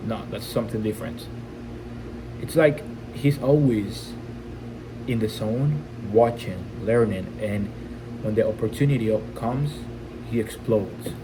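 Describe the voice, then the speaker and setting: With a non-native accent, a man speaks at a moderate pace and medium pitch, his pitch varying in an ordinary way, broken by long, frequent pauses. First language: not English. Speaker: e-commerce entrepreneur. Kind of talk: casual talk to camera. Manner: unscripted, raw.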